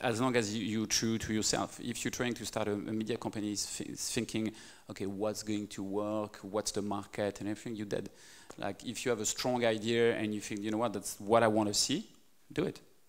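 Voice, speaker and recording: Speaking at a fairly quick pace with a French accent, a man keeps a fairly low pitch and a monotone, flat intonation. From France. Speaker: media startup CEO; guest. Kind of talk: interview. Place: hall. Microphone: handheld.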